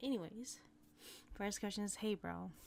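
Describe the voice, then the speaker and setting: A woman with an American accent speaks at a medium pitch, her voice making very wide pitch swings. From Hmong American. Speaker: ASMR artist. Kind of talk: casual Q&A talk to camera, ASMR style.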